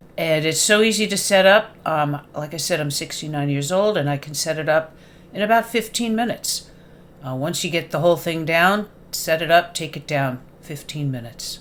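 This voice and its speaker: A woman talks at a moderate pace in an ordinary speaking voice. Her pitch is fairly low, with ordinary pitch variation. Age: 60s. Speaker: private seller. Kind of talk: sales pitch. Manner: casual with fillers.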